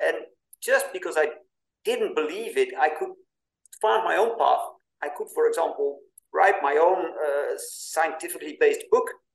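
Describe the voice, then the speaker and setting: With a Dutch accent, a man speaks at a moderate pace, showing big swings in loudness and long, frequent pauses. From Netherlands. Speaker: podcast host and author. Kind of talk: interview.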